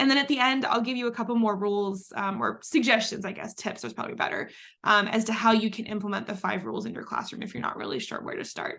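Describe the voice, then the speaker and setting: A woman with an American accent, fairly high in pitch, bright and sharp in tone, with vocal fry, fairly even intonation, a very fast pace, hardly any pauses, and audible room echo. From Texas. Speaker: museum education director and former history teacher. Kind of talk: lecture. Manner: informal.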